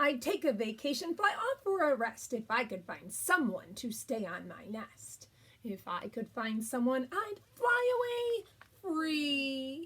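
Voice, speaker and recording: A put-on character voice carries the lines. It moves along fairly slowly. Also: woman, high pitch for a woman. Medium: read story. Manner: wheedling, flighty.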